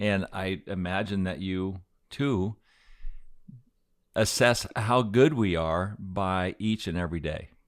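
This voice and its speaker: Very slowly, with long and frequent pauses, a man speaks in a very deep, low voice with an American accent and ordinary pitch variation. The recording is very clean, with a silent background. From Aspen, Colorado. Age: 60s. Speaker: podcast host. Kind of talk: casual chat.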